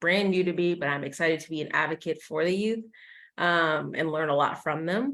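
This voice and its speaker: On a very clean recording with a silent background, a woman with an American accent speaks fairly quickly at a fairly low pitch with ordinary pitch variation. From Kansas (Wichita). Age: 20s. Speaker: policy advocate. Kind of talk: presentation. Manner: many fillers and self-corrections.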